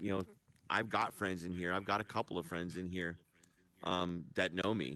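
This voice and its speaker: Very deep and low in pitch yet bright and sharp in tone, a man speaks at a moderate pace. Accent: American. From upstate New York. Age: 50s. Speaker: radio show host. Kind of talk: casual chat. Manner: matter-of-fact.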